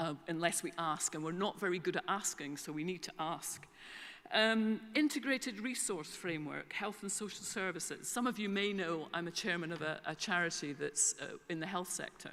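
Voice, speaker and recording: The voice has a bright, sharp tone and a Scottish accent. It moves at a moderate pace with ordinary pitch variation. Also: woman, medium pitch for a woman. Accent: Scottish, back from English. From Scotland. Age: 60s. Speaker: information management consultant. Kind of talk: conference keynote. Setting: stage with audience. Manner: hesitant fillers.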